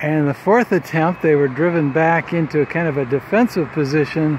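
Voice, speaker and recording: A relaxed tone at a fairly slow pace, with ordinary pitch variation. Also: man. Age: 60s. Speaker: vlogger. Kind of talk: casual vlog narration. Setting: outdoors. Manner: relaxed, conversational.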